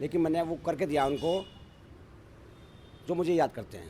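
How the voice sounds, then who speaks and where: A man's fairly high-pitched voice holds fairly even intonation. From Rishikesh, Uttarakhand. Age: 60s. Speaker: local election candidate, retired engineer. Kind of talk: interview.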